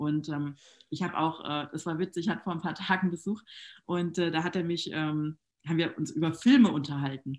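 A woman's plain, everyday voice, fairly low and fairly even in intonation, at a fairly quick pace against a quiet background. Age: 30s. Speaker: network marketing entrepreneur. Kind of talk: casual interview.

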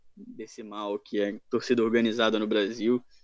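The intonation is monotone and flat. Delivery comes at a fairly slow pace. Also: man. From Rio de Janeiro, Brazil. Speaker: football fan page admin. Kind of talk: casual chat.

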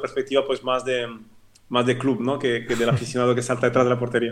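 This man talks at a very fast pace in a medium pitch. His intonation is monotone and flat. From French-speaking Switzerland. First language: French (speaking Spanish). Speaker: former football club CEO and lawyer. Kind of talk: interview. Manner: repetitive, halting with many false starts.

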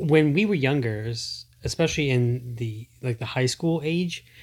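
This man has a somewhat breathy voice. His pitch is medium with ordinary variation. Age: 40s. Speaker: podcast co-host. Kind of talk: casual chat.

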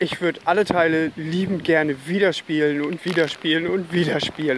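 A fairly high-pitched man talks at a moderate speed, his intonation fairly even, with noticeable noise in the background. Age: 30s. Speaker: podcast host. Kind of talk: casual solo podcast monologue.

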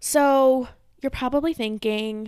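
A woman speaks at a moderate pace with an American accent, her tone animated and her pitch variation ordinary. The recording is very clean and dry, close with no echo, over a silent background. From Michigan. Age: 20s. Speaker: podcast host. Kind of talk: casual monologue.

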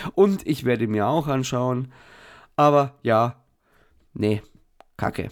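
A man speaks at a very slow pace with a medium pitch, ordinary pitch variation and long, frequent pauses. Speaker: podcast host. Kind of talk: casual chat. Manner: halting, many fillers.

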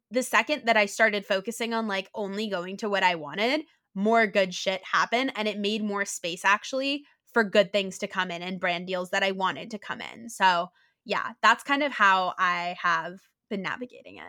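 A woman speaks at a moderate pace and medium pitch with ordinary pitch variation, in a bright, sharp, animated tone. Her loudness swings a lot, on a very clean recording with a silent background. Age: 20s. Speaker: content creator and health advocate. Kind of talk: casual interview.

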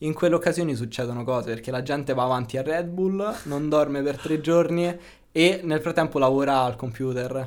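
At a fairly quick pace, a man with a fairly high voice speaks in an unremarkable speaking voice with ordinary pitch variation. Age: 20s. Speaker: video game programming student. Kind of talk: casual interview chat.

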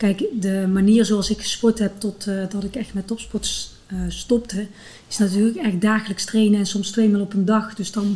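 In a dark, mellow tone, a somewhat breathy woman of medium pitch speaks with monotone, flat intonation. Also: moderate pace. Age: 40s. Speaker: physiotherapist and runner. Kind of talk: interview.

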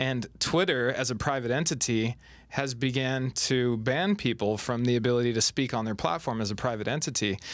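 With an unremarkable speaking voice, a man talks at a moderate pace and medium pitch, his loudness very even, on a very clean recording with a silent background. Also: ordinary pitch variation. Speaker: interviewer, sports team host. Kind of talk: casual interview.

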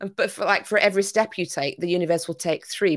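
A woman with a Yorkshire accent at medium pitch and a fairly quick pace, ordinary pitch variation, on a very clean recording with a silent background. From Yorkshire, northern England. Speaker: business coach. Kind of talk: casual chat.

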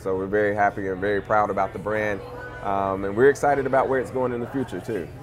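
Very fast and fairly low in pitch, a man talks with an American accent and ordinary pitch variation against noticeable background noise. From Louisiana (Monroe). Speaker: cannabis entrepreneur, former engineer. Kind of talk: casual interview.

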